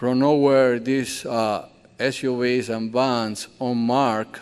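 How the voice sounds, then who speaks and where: In a Colombian accent, a man speaks at a medium pitch. His intonation is monotone and flat. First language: Spanish. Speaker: bakery owner and immigrant community advocate. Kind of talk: speech to church audience. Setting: church hall with audience. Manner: earnest, emotional.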